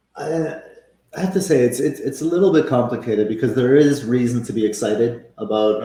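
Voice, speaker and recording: Dark, mellow tone with a somewhat breathy quality, lively intonation and a fairly quick pace. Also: man. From Venezuela and Canada. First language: Spanish. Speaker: football coach. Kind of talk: casual interview chat. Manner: halting, many fillers and repetitions.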